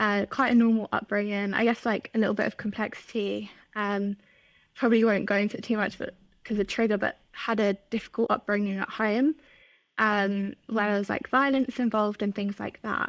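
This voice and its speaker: Fairly quick, monotone, flat speech from a woman with an English accent and a fairly high pitch. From England, north of London. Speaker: content marketing manager. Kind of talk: podcast interview.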